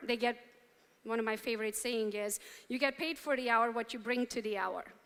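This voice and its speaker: With a Romanian accent, a woman with a high pitch and a bright, sharp tone talks at a moderate pace. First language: Romanian or Hungarian. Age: 40s. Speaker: real estate entrepreneur, motivational speaker. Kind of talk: keynote speech to a live audience. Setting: stage with audience.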